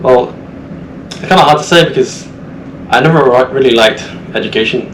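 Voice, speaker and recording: A man speaks with audible room echo. Noticeable background noise sits under his voice. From central England. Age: 20s. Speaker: cadet seafarer. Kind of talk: casual podcast interview.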